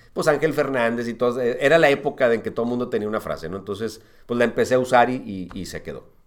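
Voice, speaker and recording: Talking at a very fast pace, a man with a medium pitch and ordinary pitch variation swings widely in loudness. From northern Mexico (Monterrey), born in Uruguay. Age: 50s. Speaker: sports commentator. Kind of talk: casual chat.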